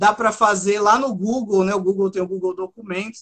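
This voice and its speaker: The speech moves at a moderate pace. Its intonation holds fairly even. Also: man. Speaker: author. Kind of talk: interview.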